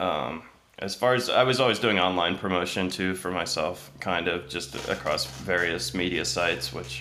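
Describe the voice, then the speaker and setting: A man speaks at a moderate pace with a very deep, low pitch and lively intonation. Audible room echo surrounds his voice. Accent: Midwestern American. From Ohio, US Midwest. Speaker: musician and music retail salesperson. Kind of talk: casual interview.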